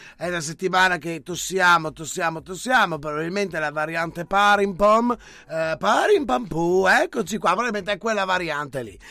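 A man with a high, bright and sharp voice speaks at a moderate pace with ordinary pitch variation. The recording is very clean, with a silent background. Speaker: radio host. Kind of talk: casual banter, live show. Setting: studio. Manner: animated, joking.

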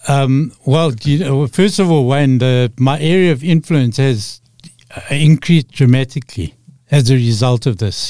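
A man with a Zimbabwean accent speaks at a moderate pace in a dark, mellow tone, with ordinary pitch variation, very even loudness, and a dry, close sound with no echo. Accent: Zimbabwean (Rhodesian) English. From Rhodesia (Zimbabwe). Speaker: storyteller and author. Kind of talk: radio interview.

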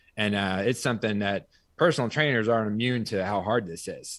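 A man's fairly low voice with an American accent, an ordinary speaking voice at a fairly quick pace, ordinary pitch variation, and a very clean recording with a silent background. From US small town. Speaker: personal trainer and fitness studio owner. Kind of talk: interview.

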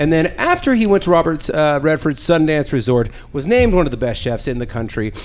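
Loud, fairly quick speech with very wide pitch swings. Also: man, fairly high pitch for a man. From San Diego. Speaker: podcast host. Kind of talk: casual chat. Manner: loud, animated.

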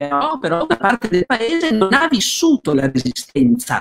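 A man speaks at a moderate pace with vocal fry and very wide pitch swings. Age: 60s. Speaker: historian. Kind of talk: interview. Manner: halting, many fillers.

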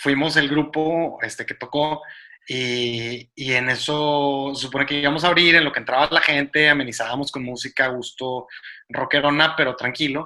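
Bright and sharp in tone, a man's fairly high voice stays flat and monotone. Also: moderate pace. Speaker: podcast co-host. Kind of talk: casual chat.

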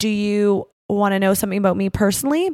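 Speaking with a Canadian accent, a woman uses a fairly high pitch and a fairly quick pace. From Canada. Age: 30s. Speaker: podcast host, wrestler. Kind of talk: casual chat.

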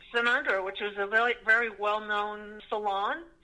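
An ordinary speaking voice from a woman with an American accent, fairly high-pitched, at a moderate pace. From Connecticut, US. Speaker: actress and screenwriter. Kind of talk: interview.

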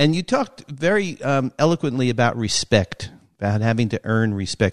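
A normal speaking voice moves at a fairly quick pace with lively intonation. The sound is dry and close, with no echo. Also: man. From New York. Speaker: sports podcast host. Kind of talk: interview.

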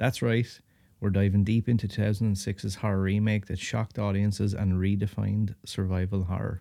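At a fairly quick pace, a man with a fairly low pitch and a dark, mellow tone speaks in a monotone, flat way. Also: very clean recording, silent background. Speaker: horror podcast host. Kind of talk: casual chat.

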